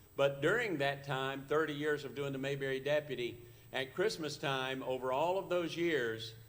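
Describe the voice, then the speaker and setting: A man talks at a moderate pace in a fairly high pitch with ordinary pitch variation. Noticeable background noise and audible room echo surround his voice. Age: 70s. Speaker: actor and performer. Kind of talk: talk to a church audience. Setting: church service, live broadcast.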